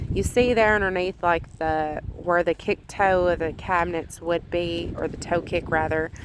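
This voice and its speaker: A woman's fairly low voice in a Southern US accent, with fairly even intonation and hardly any pauses. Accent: southern drawl. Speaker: homemaking vlogger. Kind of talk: voice-over narration of cleaning video. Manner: casual, many fillers.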